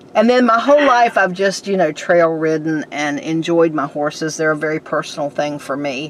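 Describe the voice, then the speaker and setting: With noticeable background noise, a woman speaks at a fairly low pitch. Her pace is moderate, her pitch variation ordinary. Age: 60s. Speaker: podcast host, horse owner. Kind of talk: casual interview.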